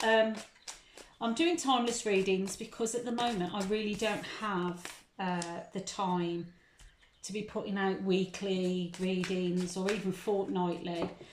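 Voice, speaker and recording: With audible room echo around her, a woman talks at a medium pitch with fairly even intonation. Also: fairly slow pace. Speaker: tarot reader. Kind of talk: tarot reading monologue. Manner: hesitant, many ums.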